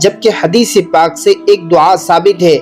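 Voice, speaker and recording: A man is speaking. Music plays in the background. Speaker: Islamic scholar / preacher. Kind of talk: Islamic religious talk to camera, explaining a supplication.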